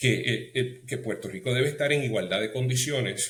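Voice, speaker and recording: Speaking at a fairly slow pace, a man with a medium-pitched voice shows vocal fry. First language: English (speaking Spanish). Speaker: political commentator. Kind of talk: interview. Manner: halting, many fillers.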